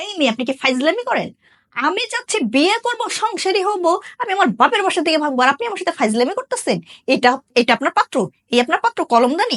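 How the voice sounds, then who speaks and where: Dry and close with no echo, a woman's voice sits at an extremely high pitch and makes very wide pitch swings. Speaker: university student. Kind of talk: comic interview. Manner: animated.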